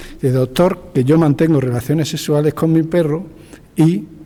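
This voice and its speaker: A man talks at a fairly quick pace in a fairly high pitch with ordinary pitch variation. Noticeable background noise sits behind him. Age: 60s. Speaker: veterinarian. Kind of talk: anecdote in panel discussion.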